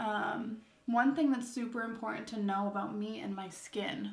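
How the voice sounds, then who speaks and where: With audible room echo, a woman speaks in a somewhat breathy voice with ordinary pitch variation. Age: 20s. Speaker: beauty vlogger. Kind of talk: casual chat while doing makeup. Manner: peppy, upbeat; frequent filler 'um's.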